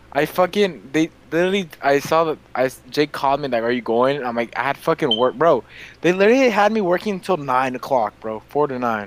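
A man with a plain, everyday voice talks at a fairly quick pace. His pitch is fairly high and his intonation lively. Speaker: podcast host. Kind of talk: casual banter, comedic chat. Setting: home studio, lying in a chair. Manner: joking, loud, rowdy.

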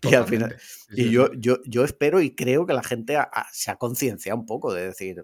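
A man with a plain, everyday voice at medium pitch talks at a fairly quick pace with ordinary pitch variation, recorded dry and close with no echo in a very clean recording with a silent background. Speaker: podcaster. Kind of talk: casual chat.

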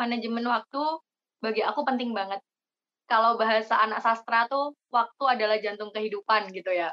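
A woman with a normal speaking voice talks at a moderate pace, her pitch fairly high and her intonation fairly even. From Indonesia, East Java (Jember). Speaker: university student, scholarship organization leader. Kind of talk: casual podcast interview.

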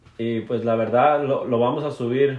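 With audible room echo, a man speaks at a medium pitch and moderate pace, keeping his intonation fairly even. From Mexico, Jalisco coast. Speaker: podcast co-host. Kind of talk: casual chat.

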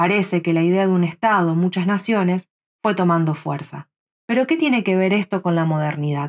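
A woman with a Rioplatense accent talks at a moderate pace and medium pitch, with ordinary pitch variation and very even loudness. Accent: Argentine Rioplatense Spanish. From Rosario, Argentina. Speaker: podcast commentator. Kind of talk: scripted narration.

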